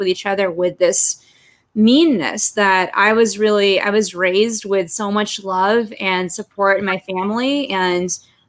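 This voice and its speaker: A woman speaks with a Los Angeles accent. Her pitch sits in the medium range. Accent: American (Los Angeles). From Russia, moved to Los Angeles at five. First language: Russian. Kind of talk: interview.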